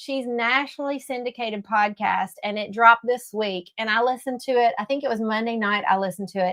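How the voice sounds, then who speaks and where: A woman with a strong Kentucky accent talks at a fairly quick pace with hardly any pauses, her fairly high voice bright and sharp and her pitch varying in an ordinary way. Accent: Kentucky Southern accent, strong. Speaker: homemaking livestream host. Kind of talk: casual livestream chat. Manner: animated.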